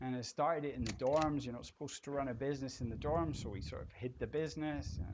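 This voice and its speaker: With vocal fry, a man speaks at medium pitch with ordinary pitch variation. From Scotland, partly raised in England. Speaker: entrepreneur. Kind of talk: interview, personal story.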